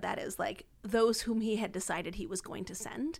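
This woman has a plain, everyday voice with a fairly high pitch. She speaks at a moderate pace with ordinary pitch variation. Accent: American. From US, Washington DC area. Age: 30s. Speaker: itinerant missionary and speaker. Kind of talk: podcast interview about faith.

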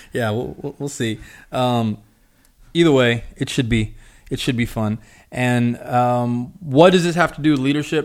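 A man with an unremarkable speaking voice and medium pitch speaks at a fairly slow pace with ordinary pitch variation on a very clean recording with a silent background. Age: 20s. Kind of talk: casual chat. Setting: studio.

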